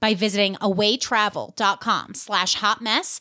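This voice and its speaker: A woman with a New York accent and a bright, sharp tone, at a moderate pace, in a very clean recording over a silent background. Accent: New York American. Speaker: comedy podcast host. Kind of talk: casual comedy banter.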